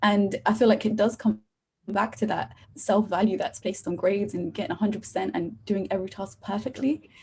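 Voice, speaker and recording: At a fairly quick pace, a woman speaks with vocal fry and a medium pitch. Her pitch moves in an ordinary way. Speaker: university student. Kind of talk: podcast interview.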